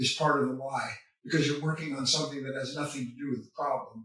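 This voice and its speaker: Audible room echo surrounds a man who speaks fairly quickly. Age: 70s. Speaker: spiritual author and teacher. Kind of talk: interview.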